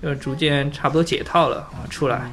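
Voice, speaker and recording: At a fairly slow pace, a man with a fairly high pitch for a man speaks in a monotone, flat way. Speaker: IT worker. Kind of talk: casual chat.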